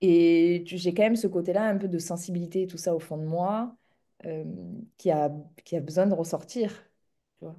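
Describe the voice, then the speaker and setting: In a southern French accent, a woman with a dark, mellow tone and fairly low pitch talks at a moderate pace with fairly even intonation, big swings in loudness, and long, frequent pauses. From southern France, near Montpellier. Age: 30s. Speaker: entrepreneur in the equestrian business. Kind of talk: interview conversation.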